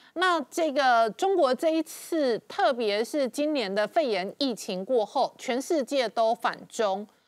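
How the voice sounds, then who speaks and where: Against a quiet background, a woman with a Taiwanese accent and a high pitch speaks at a very slow pace with very wide pitch swings. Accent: Taiwanese Mandarin. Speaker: TV talk show host. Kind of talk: interview. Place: studio.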